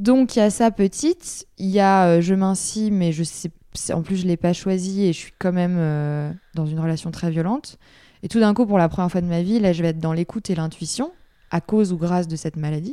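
A woman's dark, mellow tone at a fairly quick pace, with ordinary pitch variation, in a very clean recording with a silent background. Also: medium pitch for a woman. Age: 20s. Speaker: patient advocate and author. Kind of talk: testimony. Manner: hesitant with fillers.

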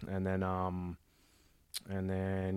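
A man with a very deep, low pitch and an Australian accent, on a very clean recording with a silent background. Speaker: martial arts student. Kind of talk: casual chat. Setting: studio.

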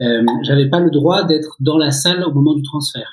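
At a fairly slow pace, a man with a fairly high pitch speaks in a somewhat breathy voice. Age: 30s. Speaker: photographer and journalist. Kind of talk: casual chat.

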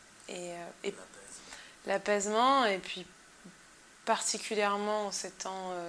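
This woman talks at a very slow pace with a medium pitch. Her intonation is flat and monotone. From Madagascar and Cameroon. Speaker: musician. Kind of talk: interview.

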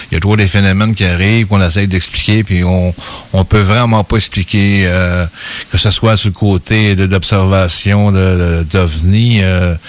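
A man's very deep, low voice at a fairly slow pace, monotone and flat in intonation, with very even loudness. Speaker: radio co-host, UFO investigator. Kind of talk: radio interview.

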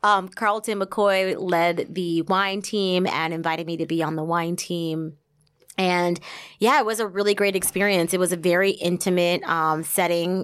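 Very clean with a silent background, this recording has a woman with an American accent and a normal speaking voice, fairly low in pitch, fairly even in intonation, at a moderate pace. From US Northeast (central New Jersey). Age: 30s. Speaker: wine sales representative and consultant. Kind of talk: casual interview.

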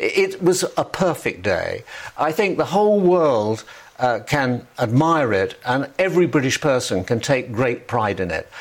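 With an English accent, a man speaks at a fairly high pitch that swings very widely. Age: 70s. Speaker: former royal correspondent. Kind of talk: interview. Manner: halting.

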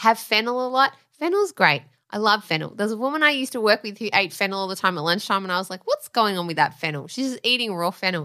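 Loud and very fast, a woman speaks at medium pitch with a bright, sharp tone, lively intonation, and hardly any pauses. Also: very clean recording, silent background. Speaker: podcast co-host. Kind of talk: casual chat.

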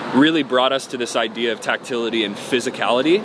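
A man with an American accent at medium pitch, talking very fast with fairly even intonation over noticeable background noise. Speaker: musician. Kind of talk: casual interview.

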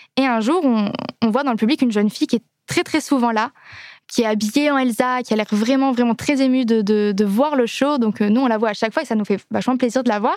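Her pitch fairly high, a woman speaks at a fairly quick pace with ordinary pitch variation and very even loudness. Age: 20s. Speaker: singer in a theme park musical. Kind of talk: casual interview.

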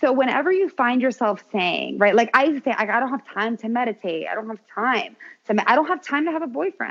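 A woman with an American accent talks at a fairly quick pace in a high voice. Her pitch moves in very wide swings. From US, Miami area, Uruguayan family. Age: 30s. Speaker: health insurance agent and former attorney. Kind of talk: casual interview. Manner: animated.

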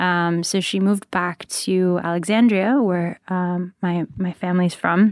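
A woman with an American accent at a medium pitch and a fairly slow pace, fairly even in intonation with hardly any pauses, on a dry, close, very clean recording with no echo and a silent background. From US, New Jersey, with childhood abroad. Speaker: podcast network founder and CEO. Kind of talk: interview. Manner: hesitant, many fillers.

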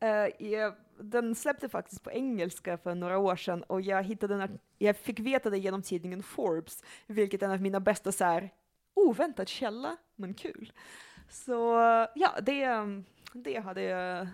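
An unremarkable speaking voice belongs to a woman talking at a moderate pace and medium pitch, with ordinary pitch variation. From Russia (Leningrad), moved to Sweden young. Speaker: psychologist and sexologist. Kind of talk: casual chat. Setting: at her home.

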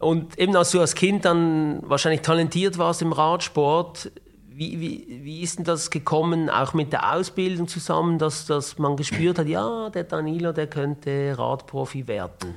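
A man with a fairly high voice speaks at a fairly slow pace with ordinary pitch variation, and there is noticeable background noise. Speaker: podcast host. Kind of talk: interview.

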